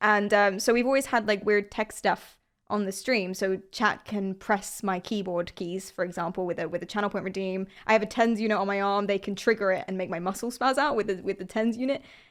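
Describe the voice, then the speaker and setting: In a London accent, the speaker talks at a fairly quick pace with fairly even intonation, the recording very clean with a silent background. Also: woman, medium pitch for a woman. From London, England. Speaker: streamer. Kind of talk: casual interview.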